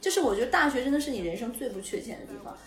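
A woman with a Northeastern Chinese accent, music in the background. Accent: Northeastern Mandarin. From northeast China. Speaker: podcast co-host. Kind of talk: casual chat.

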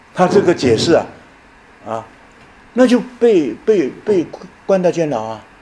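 A man speaks at a fairly slow pace with a high pitch and very wide pitch swings. Long, frequent pauses break his speech over noticeable background noise. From Taiwan, Yilan. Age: 70s. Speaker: retired professor. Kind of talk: lecture.

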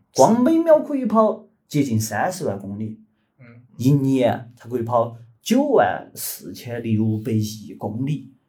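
A man speaks at a very slow pace with big swings in loudness. Audible room echo surrounds his voice. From Chengdu, Sichuan, China. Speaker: podcast co-host. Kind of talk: casual chat with storytelling.

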